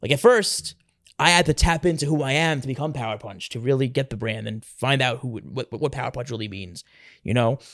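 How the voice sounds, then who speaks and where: An energetic man with a New York accent at medium pitch and a fairly quick pace, with ordinary pitch variation, in a very clean recording with a silent background. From New York City (Staten Island). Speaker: professional wrestler. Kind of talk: interview. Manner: fast.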